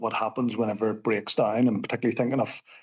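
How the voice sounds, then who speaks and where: Northern Irish accent from a man with a medium-pitched voice. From Northern Ireland. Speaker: civil engineer. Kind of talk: podcast interview.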